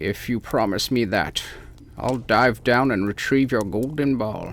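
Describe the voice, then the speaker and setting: Fairly slow put-on character voice from a man, pitched at a medium level. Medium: read story. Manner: insistent, wheedling.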